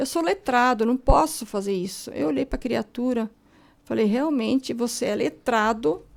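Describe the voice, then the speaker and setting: A woman's high voice, lively in intonation, at a fairly slow pace. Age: 60s. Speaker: author. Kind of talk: radio interview.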